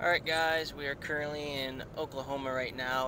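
Over noticeable background noise, a man speaks at a moderate pace with fairly even intonation in a dry sound with no echo. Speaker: vlogger. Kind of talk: casual vlog chat. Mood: relaxed, cheerful. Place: car. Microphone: lapel.

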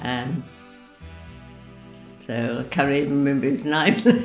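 A fairly slow pace over faint background music, with audible room echo. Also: woman. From Australia. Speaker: centenarian, former wartime volunteer. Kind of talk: interview answer. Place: home room.

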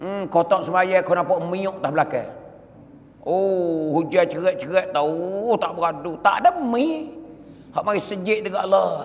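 At a fairly slow pace, a man talks in a high pitch. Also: ordinary pitch variation. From southern Thailand. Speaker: Islamic preacher. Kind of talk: sermon. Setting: mosque. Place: church. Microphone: podium.

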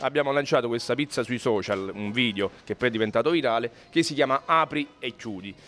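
The speech moves at a fairly quick pace with hardly any pauses and ordinary pitch variation. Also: man. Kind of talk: interview answer. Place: shop. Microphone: handheld.

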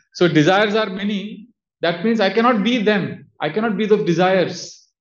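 A man speaks with fairly even intonation. The background stays quiet. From India, Udupi (Karnataka); Karnataka, India. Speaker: monk and spiritual teacher; monk lecturer. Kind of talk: lecture. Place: home room. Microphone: studio mic.

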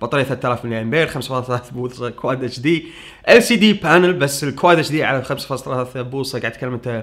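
A man talks at a fairly quick clip with ordinary pitch variation, and the background stays quiet. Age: 30s. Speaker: tech YouTuber. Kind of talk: Q&A answering viewer questions. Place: home room.

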